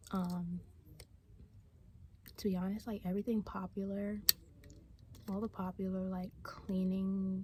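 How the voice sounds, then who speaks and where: The speaker whispers fairly slowly, with long pauses coming often. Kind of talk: casual ASMR talk to camera. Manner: whispered.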